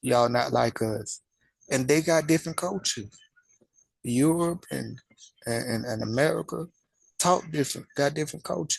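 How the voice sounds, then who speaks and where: A man with a Southern US accent at a moderate pace, with lively intonation, long and frequent pauses, and a dry, close sound with no echo. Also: medium pitch for a man. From US South. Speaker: religious commentary channel host. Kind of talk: casual monologue.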